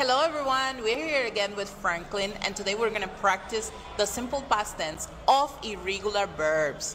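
There is noticeable background noise as a woman with a fairly high pitch and lively intonation talks with hardly any pauses. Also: moderate pace. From Dominican Republic, Puerto Plata; Dominican Republic. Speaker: English teacher; english teacher guest. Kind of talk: tutorial; interview.

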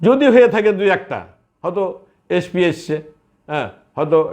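A man speaks with ordinary pitch variation. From Bangladesh, Chapainawabganj. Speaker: war veteran association leader. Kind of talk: interview statement.

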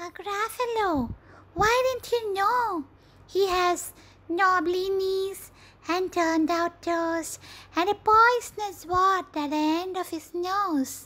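This put-on character voice is squeaky and extremely high in pitch, delivered at a fairly slow pace. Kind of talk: storybook character acting. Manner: polite, then boastful and sly.

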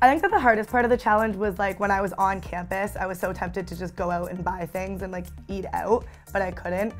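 Faint music plays in the background as a woman talks at a very fast pace. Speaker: student reporter. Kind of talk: interview answer. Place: studio. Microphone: lapel.

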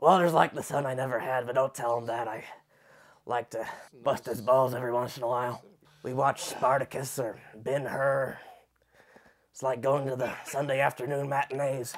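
A man speaks at a moderate pace with a monotone, flat intonation. Long, frequent pauses run through his speech. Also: medium pitch for a man. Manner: gruff, nostalgic, stubborn.

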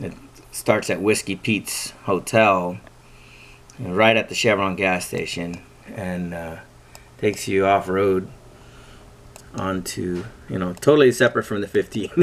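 Using a very deep, low pitch and fairly even intonation, a man speaks at a fairly slow pace with long, frequent pauses. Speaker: off-road enthusiast. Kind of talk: casual screen-share tutorial. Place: home room. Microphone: phone near.

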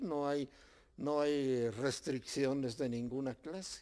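In quiet surroundings, a man's words come very slowly. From Mexico. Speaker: local author and former mayor; former mayor. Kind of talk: interview. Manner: halting. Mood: calm, content. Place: home room. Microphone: handheld.

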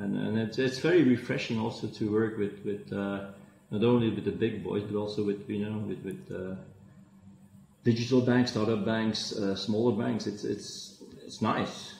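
The speaker has a Flemish accent and ordinary pitch variation at a moderate pace. Audible room echo and light background noise are present. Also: man, fairly low pitch for a man. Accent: Belgian (Flemish) English. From Belgium. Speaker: fintech entrepreneur; guest. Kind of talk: interview. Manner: halting, many fillers. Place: office. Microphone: video call.

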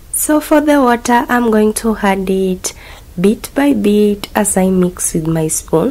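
Over noticeable background noise, a woman speaks at a very slow pace. Her pitch is medium and her intonation lively. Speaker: cooking channel host. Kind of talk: cooking tutorial voiceover.

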